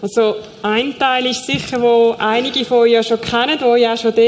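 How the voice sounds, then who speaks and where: At a moderate pace, a woman talks with a high pitch and fairly even intonation amid noticeable background noise. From Switzerland, Zurich Oberland. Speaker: aid worker, former teacher. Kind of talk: church stage interview. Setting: church stage.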